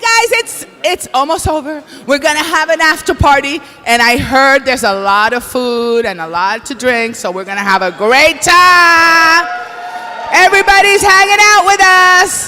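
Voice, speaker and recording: Over crowd noise, a woman speaks in a raised, projected voice at a moderate pace. Her pitch is high and swings very widely. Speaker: awards show co-host. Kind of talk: live emcee banter. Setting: stage with audience. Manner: animated.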